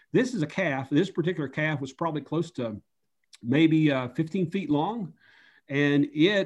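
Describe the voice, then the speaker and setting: A man with an Appalachian accent talks at a fairly slow pace. His pitch is fairly high, with ordinary variation. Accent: Appalachian Southern US. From US South, Upper East Tennessee. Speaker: underwater photojournalist. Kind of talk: interview. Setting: video call.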